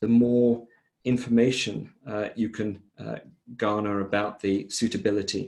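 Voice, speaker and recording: With a plain, everyday voice, a man speaks at a fairly low pitch and a moderate pace. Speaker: software vendor presenter. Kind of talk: product demo presentation.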